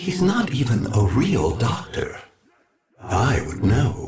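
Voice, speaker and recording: Putting on a character voice, a man speaks very slowly at a medium pitch with very wide pitch swings. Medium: machinima. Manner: menacing, seductive.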